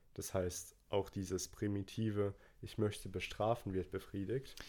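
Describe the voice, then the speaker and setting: With a dark, mellow tone and fairly low pitch, a man speaks at a very slow pace in monotone, flat intonation. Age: 20s. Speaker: podcast co-host. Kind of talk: casual chat.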